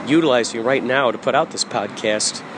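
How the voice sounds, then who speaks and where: A man's voice with noticeable background noise. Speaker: podcaster and musician. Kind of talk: stream-of-consciousness monologue. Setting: out running errands, grocery store. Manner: loud; halting.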